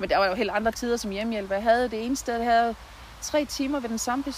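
Speaking at a very fast pace, a woman holds a fairly high pitch with fairly even intonation. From Southern Jutland, Denmark (near Haderslev). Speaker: nurse and local political candidate. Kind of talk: interview. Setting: outdoors in a garden.

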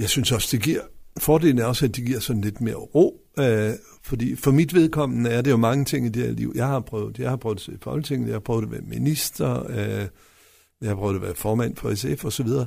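A man rattles off his words very quickly in a very clean recording against a silent background. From West Jutland, Denmark. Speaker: local politician, mayoral candidate. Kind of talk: radio interview. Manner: halting, many fillers.

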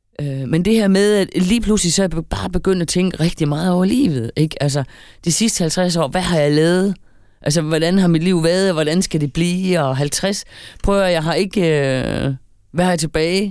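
In an ordinary speaking voice, a woman talks at a fairly low pitch with ordinary pitch variation. Her pace is moderate and her loudness very even. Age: 50s. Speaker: podcast co-host. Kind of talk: casual chat.

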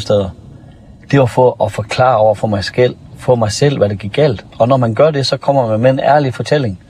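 Noticeable background noise sits under speech that moves fairly quickly with ordinary pitch variation. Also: man. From North Jutland, Denmark. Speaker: former police officer turned public speaker. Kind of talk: interview.

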